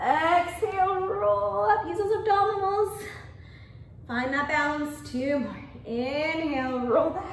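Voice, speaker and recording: The speaker talks at a very slow pace with very wide pitch swings. Light background noise and audible room echo surround the voice. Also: woman, extremely high pitch for a woman. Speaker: fitness instructor. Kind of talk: guided Pilates class. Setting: video class from a studio. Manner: calm, rhythmic, coaching cues with counted breaths; encouraging, upbeat. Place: gym.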